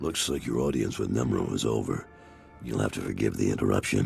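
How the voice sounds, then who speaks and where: A man puts on a raspy character voice at a fairly quick pace. Clear music plays in the background. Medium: video game. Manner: blunt, no-nonsense.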